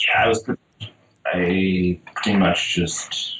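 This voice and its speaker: This is a man's voice. His pitch is very deep and low. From Netherlands. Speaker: children's book illustrator. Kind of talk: casual interview. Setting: phone or video call.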